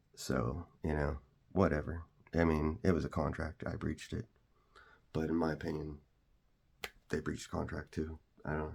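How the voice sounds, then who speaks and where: The speech has fairly even intonation and long, frequent pauses. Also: man, very deep, low pitch for a man. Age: 40s. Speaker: content creator. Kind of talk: personal story monologue. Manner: fast; halting, many fillers.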